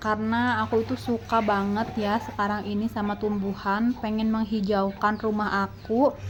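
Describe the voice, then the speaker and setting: Speaking at a fairly slow pace, a woman with a medium pitch sounds somewhat breathy, her intonation fairly even. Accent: West Javanese. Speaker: gardening vlogger, housewife. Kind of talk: casual vlog narration.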